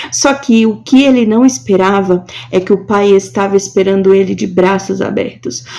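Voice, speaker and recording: With noticeable background noise behind her, a woman at a medium pitch speaks at a fairly slow pace with lively intonation. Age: 20s. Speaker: preacher. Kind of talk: devotional sermon.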